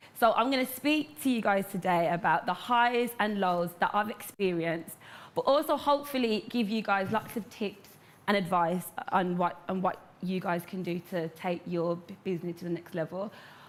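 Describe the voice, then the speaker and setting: A woman speaks with a Brummie accent. Her pace is moderate. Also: medium pitch for a woman, lively intonation. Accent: Birmingham (Brummie). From Birmingham, England. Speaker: entrepreneur, hair care business owner. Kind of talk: motivational talk to live audience. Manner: animated.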